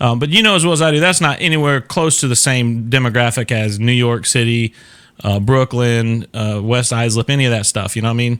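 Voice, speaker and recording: With a Southern US accent, a man talks at a fairly quick pace and medium pitch, showing ordinary pitch variation. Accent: Southern US, considered thick by northerners. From Florida, US South. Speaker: talk show host. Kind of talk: casual chat. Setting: live stream.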